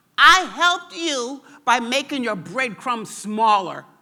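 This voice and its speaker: A female-sounding voice puts on a character voice at a high pitch. The pace is fairly slow. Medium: read story. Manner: giggling, playful.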